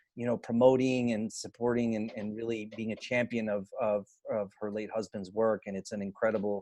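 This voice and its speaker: The recording is very clean with a silent background, and a man talks at a moderate pace. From Cuban American, grew up in US. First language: Spanish. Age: adult. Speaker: event host and poet. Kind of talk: event closing remarks. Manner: halting, many repetitions.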